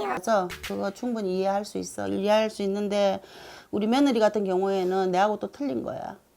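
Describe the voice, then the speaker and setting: A woman with a dark, mellow tone and medium pitch speaks at a moderate pace with ordinary pitch variation, in a very clean recording with a silent background. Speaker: shaman fortune teller. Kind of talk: fortune-telling consultation.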